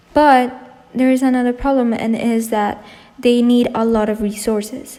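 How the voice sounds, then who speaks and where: With a non-native accent, a woman speaks at a moderate pace and fairly high pitch in a monotone, flat intonation. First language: not English. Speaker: environmental YouTuber. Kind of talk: educational explainer.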